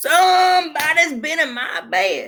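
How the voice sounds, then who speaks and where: Gruff and growling, a put-on character voice sits at an extremely high pitch, swinging very widely and moving at a fairly slow pace. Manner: angry, menacing.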